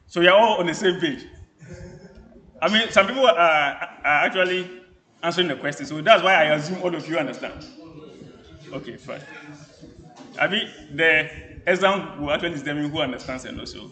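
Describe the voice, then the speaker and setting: A man's high-pitched voice at a fairly quick pace, with ordinary pitch variation, long, frequent pauses, big swings in loudness, music in the background and audible room echo. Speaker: university lecturer. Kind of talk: lecture. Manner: fast.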